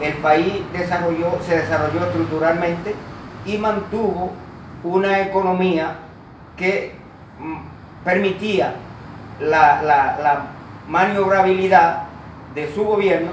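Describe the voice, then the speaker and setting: A man with a high pitch speaks at a very slow pace, with long, frequent pauses and fairly even intonation, amid audible room echo and noticeable background noise. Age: 60s. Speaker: interviewee. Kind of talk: interview. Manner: halting, many fillers.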